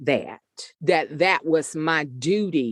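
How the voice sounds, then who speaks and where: A woman speaks with vocal fry in a strong Southern US accent. The sound is dry and close with no echo, over a quiet background. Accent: deep Southern US. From US Deep South. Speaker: author and poet. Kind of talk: interview conversation. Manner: code-switches between standard and vernacular.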